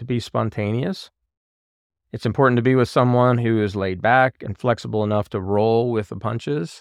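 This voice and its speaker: A man's unremarkable speaking voice, medium in pitch with ordinary pitch variation, at a moderate pace, in a dry, close sound with no echo against a quiet background. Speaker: podcast host. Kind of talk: casual chat. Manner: joking banter.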